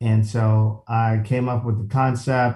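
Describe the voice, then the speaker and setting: Speaking at a very slow pace, a man with a medium-pitched, somewhat breathy voice and a dark, mellow tone keeps his intonation flat and monotone. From Chicago, South Side. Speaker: golf entrepreneur and media founder. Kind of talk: casual chat.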